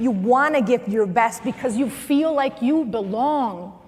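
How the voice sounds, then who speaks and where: A woman with a slight Spanish accent speaks in an animated tone at a moderate pace, her pitch high with ordinary variation. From Venezuela. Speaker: motivational speaker and former news anchor. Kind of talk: motivational talk.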